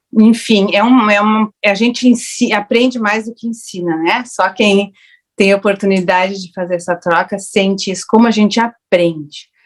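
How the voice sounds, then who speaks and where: A woman talks in a plain, everyday voice at a medium pitch. Her pace is moderate and her intonation fairly even. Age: 60s. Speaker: raw food educator, panel speaker. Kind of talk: online panel discussion. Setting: online festival panel.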